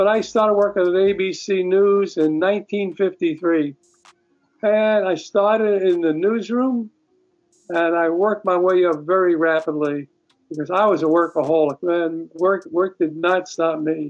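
A man with a high-pitched voice and a New York accent, fairly even intonation, and a fairly slow pace. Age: 80s. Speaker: musician and former film editor. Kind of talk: casual interview. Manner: talkative, rambling storyteller.

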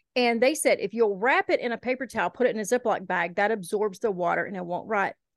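A woman with a Southern US accent and fairly high pitch, at a very fast pace, with a quiet background and a dry, close sound with no echo. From Eastern Kentucky, raised in Shelby County, Alabama. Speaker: podcast host. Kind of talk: casual interview chat.

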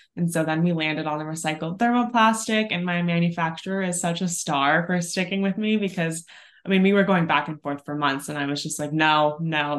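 Fairly quick speech from a woman with an unremarkable speaking voice, fairly low pitch and an American accent, in a quiet background. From Northern California, US. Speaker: activewear brand founder, former personal trainer. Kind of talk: interview.

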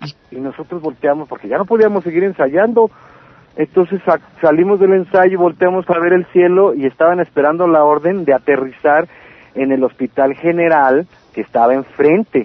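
A man's ordinary speaking voice, fairly high in pitch, at a moderate pace with lively intonation. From Mexicali, Baja California, Mexico. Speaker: punk singer and songwriter. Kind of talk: interview.

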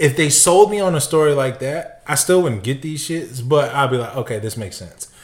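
This man talks at a fairly quick pace with hardly any pauses, in a fairly high, somewhat breathy voice. His intonation is lively, and his loudness swings widely. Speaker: sneaker podcast co-host. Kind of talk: casual chat. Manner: calm.

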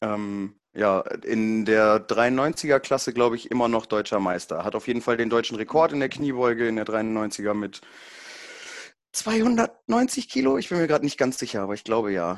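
A man with an unremarkable speaking voice, medium pitch, ordinary pitch variation and a moderate pace, against a quiet background. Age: 20s. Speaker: powerlifting event announcer. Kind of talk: casual chat.

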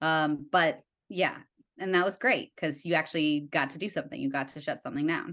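A woman with an American accent speaks at a moderate pace in a very deep, low pitch, with ordinary pitch variation against a quiet background. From US Midwest, Evanston near Chicago. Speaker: TV writer and art director. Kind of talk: casual interview chat.

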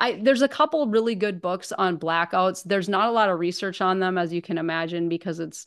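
Against a quiet background, a woman with an American accent speaks at medium pitch and a fairly quick pace in an unremarkable speaking voice. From northern Minnesota. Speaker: recovery ministry director and author. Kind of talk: testimony.

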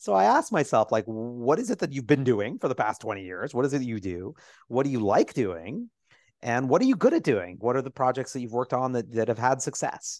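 Against a quiet background, a man with an ordinary speaking voice talks at a fairly quick pace with ordinary pitch variation. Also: medium pitch for a man. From New York City, Lower East Side. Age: 40s. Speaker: Broadway producer and writer. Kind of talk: casual interview.

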